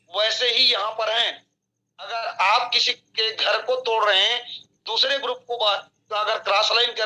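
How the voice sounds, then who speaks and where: Raised and projected, a man's high-pitched voice has a bright, sharp tone and flat, monotone intonation. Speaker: network marketing leader. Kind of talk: motivational training talk.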